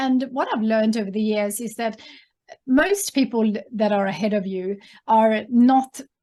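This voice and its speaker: A woman's somewhat breathy voice, fairly high-pitched, with a dark, mellow tone. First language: Swedish. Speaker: entrepreneur and author. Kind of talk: interview. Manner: hesitant, many fillers.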